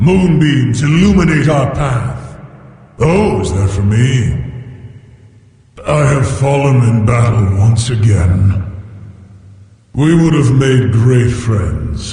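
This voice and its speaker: A man in a put-on character voice of medium pitch talks at a very slow pace with long, frequent pauses, under strong echo. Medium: fan dub. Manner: polite, formal.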